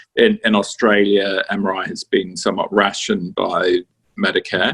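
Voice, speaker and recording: With a British accent, a man speaks at a moderate pace in a dry, close sound with no echo. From UK. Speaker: radiologist. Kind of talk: interview. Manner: hesitant, many fillers.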